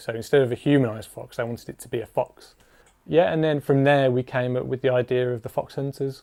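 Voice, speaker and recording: Someone with an English accent speaks at a fairly quick pace in a flat monotone. The recording is very clean with a silent background, and the sound is dry and close with no echo. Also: man. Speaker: music video director. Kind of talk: behind-the-scenes narration. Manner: subdued.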